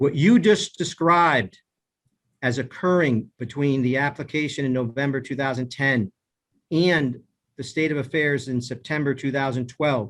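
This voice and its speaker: At a moderate pace, a man with a plain, everyday voice and a fairly high pitch speaks with ordinary pitch variation. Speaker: cross-examining counsel. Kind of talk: witness cross-examination.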